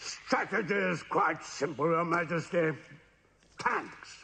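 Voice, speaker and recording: A man speaks in a cartoonish character voice at a high pitch. His pace is fairly slow. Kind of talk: comic overacting. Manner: blustering, brisk.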